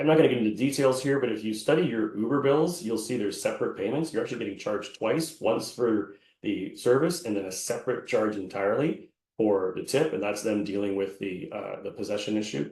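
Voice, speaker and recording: A man's somewhat breathy, medium-pitched voice, with lively intonation, a fairly quick pace and hardly any pauses. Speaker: employment lawyer. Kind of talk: webinar presentation. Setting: online webinar.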